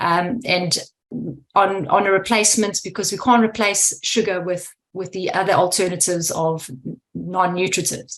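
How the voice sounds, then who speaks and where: A woman talks with a South African accent at medium pitch. Her intonation stays fairly even. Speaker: food scientist. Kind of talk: Q&A question on video call. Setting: video call.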